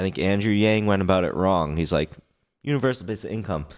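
A man with an unremarkable speaking voice and a fairly low pitch talks at a fairly quick pace. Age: 20s. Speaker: podcast co-host, engineer. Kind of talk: casual chat. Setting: in person at a friend's place.

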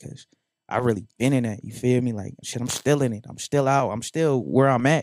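With an American accent, a man speaks in an unremarkable speaking voice at medium pitch and a fairly quick pace, his intonation fairly even. The recording is very clean with a silent background, and the sound is dry and close with no echo. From North Las Vegas, Nevada. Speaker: rapper. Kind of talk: casual chat. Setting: studio.

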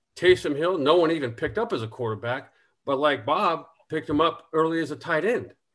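Man in a normal speaking voice, fairly high in pitch, with lively intonation and a fairly quick pace. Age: 50s. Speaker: former NFL quarterback, fantasy football analyst. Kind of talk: casual chat.

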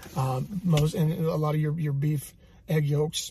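This is a man's somewhat breathy voice. He talks at a moderate pace. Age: 30s. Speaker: fitness and faith podcast host. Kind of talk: casual health talk. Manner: animated.

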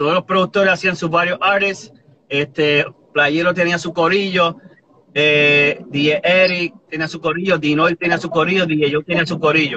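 Here a man with a high pitch talks at a fairly slow pace with fairly even intonation. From New Jersey and Puerto Rico (born Boston). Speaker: reggaeton artist. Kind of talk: interview. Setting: live stream from home.

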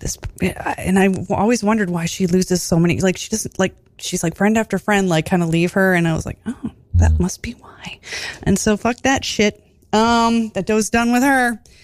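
On a very clean recording with a silent background, a woman with an unremarkable speaking voice talks at a medium pitch and moderate pace, her pitch varying in an ordinary way. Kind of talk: radio DJ patter, casual studio interview banter. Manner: chatty, warm, upbeat, with filler words and laughter.

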